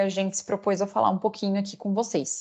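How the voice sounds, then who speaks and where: A woman speaks in a medium pitch against a quiet background. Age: 30s. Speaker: corporate lawyer. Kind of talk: online lecture. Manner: halting, many fillers.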